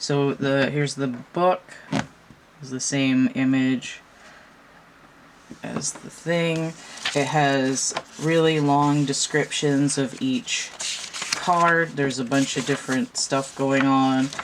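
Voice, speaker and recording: Over noticeable background noise, a woman with a very deep, low pitch speaks at a very slow pace with long, frequent pauses and fairly even intonation. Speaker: tarot reader and deck reviewer. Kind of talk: product review. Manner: casual, conversational.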